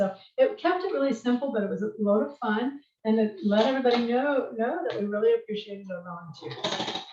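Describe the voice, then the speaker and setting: A woman's somewhat breathy voice with a dark, mellow tone at a fairly quick pace. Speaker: nonprofit meetup organizer. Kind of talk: webinar presentation. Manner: fast.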